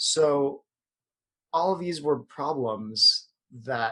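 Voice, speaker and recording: Bright and sharp in tone, a man talks with an American accent. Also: very clean recording, silent background. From US, Filipino American. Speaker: yoga instructor. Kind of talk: podcast interview. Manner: hesitant fillers.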